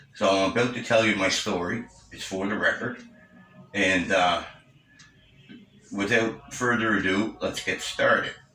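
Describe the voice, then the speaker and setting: A man speaks at a fairly slow pace in a fairly low, monotone voice with flat intonation. Audible room echo and noticeable background noise fill the recording. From Cape Breton, Nova Scotia, Canada. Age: 60s. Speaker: senior making a personal statement. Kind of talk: personal testimony. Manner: halting, with many fillers.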